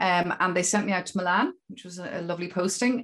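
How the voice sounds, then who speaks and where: A woman with a Dublin accent speaks at a fairly quick pace in a fairly low pitch. The recording is very clean, with a silent background. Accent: Dublin Irish. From Ireland, Dún Laoghaire (Dublin). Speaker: sheep dairy farmer and business owner. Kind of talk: interview.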